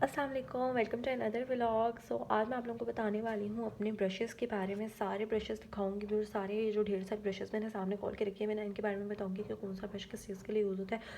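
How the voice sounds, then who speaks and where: Over noticeable background noise, a woman talks with hardly any pauses. Her fairly high voice keeps a monotone, flat intonation. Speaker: beauty vlogger. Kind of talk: makeup tutorial. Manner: soft-spoken, quiet so baby won't wake.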